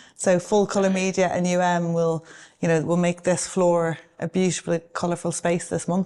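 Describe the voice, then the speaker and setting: In an Irish accent, a woman speaks at a moderate pace and fairly low pitch, her tone dark and mellow and her intonation monotone and flat. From Ireland. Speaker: advertising agency executive. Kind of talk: interview. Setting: office with a view.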